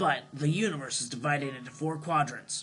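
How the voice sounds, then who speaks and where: The speaker uses a put-on character voice at a fairly quick pace. Faint music plays in the background. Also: man, fairly high pitch for a man. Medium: solo performance. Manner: lecturing, exasperated.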